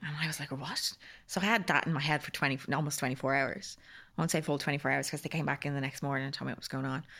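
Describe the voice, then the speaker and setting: On a very clean recording with a silent background, a woman with a very deep, low pitch, vocal fry and a bright, sharp tone speaks at a very fast pace with ordinary pitch variation. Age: 30s. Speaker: cancer survivor sharing her story. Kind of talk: casual chat.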